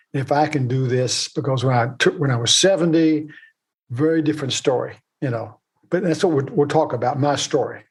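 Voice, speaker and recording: Somewhat breathy and fairly high-pitched, a man with an American accent talks at a fairly quick pace with ordinary pitch variation. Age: 80s+. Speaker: author and retired investment executive. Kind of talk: podcast interview.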